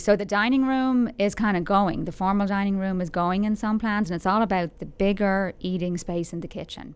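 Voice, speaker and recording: In a very clean recording with a silent background, a woman with an Irish accent talks at a fairly quick pace with hardly any pauses, her medium-pitched voice keeping a fairly even intonation. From Ireland, Dublin. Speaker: local magazine writer. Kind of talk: casual interview.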